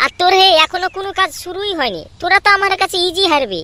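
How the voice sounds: Delivered at a fast pace, a man's cartoonish character voice hits an extremely high pitch with big pitch swings and a bright, sharp tone, recorded dry and close with no echo.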